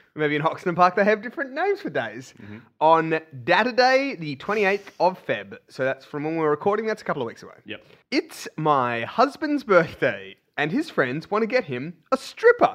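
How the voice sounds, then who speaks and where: Against a quiet background, a man with an Australian accent talks at a moderate pace in a high pitch, with very wide pitch swings and big swings in loudness. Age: 20s. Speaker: co-host, comedian. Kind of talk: casual comedic chat.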